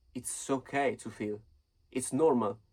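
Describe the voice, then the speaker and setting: A man's non-native accent with ordinary pitch variation. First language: not English. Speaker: self-help vlogger. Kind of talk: casual advice monologue. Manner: halting.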